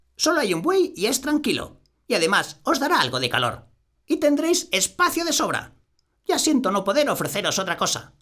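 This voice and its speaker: At a moderate pace, a man speaks in a put-on character voice pitched extremely high. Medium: read story. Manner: warm, homely.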